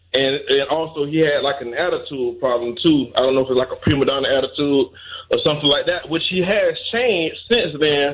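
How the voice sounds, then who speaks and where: A man talks fairly quickly in a fairly high voice. Ordinary pitch variation comes through over noticeable background noise. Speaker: caller. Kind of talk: casual sports talk call-in. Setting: phone call.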